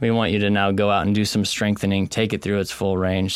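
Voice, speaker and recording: A man with an American accent talks at a very fast pace in a flat monotone. His pitch is fairly low, and background noise is noticeable. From Texas. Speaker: chiropractor. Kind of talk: interview. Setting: in person at his clinic.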